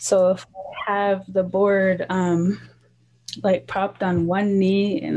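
A woman speaks with an American accent. Her tone is dark and mellow. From US, Montana, Flathead Reservation; Montana. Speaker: cultural practitioner; interviewee. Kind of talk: interview. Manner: halting. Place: home room. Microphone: video call.

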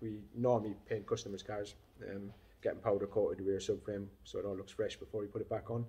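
The voice is somewhat breathy with a dark, mellow tone and moves at a very fast pace. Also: man. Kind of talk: casual vlog chat. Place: workshop. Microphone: phone near.

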